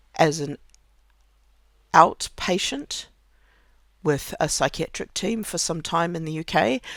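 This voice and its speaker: A woman's fairly low voice in a New Zealand accent, very slow, with long, frequent pauses and big swings in loudness, on a very clean recording with a silent background. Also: ordinary pitch variation. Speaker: podcaster. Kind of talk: casual personal monologue. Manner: halting, with many fillers and repetitions.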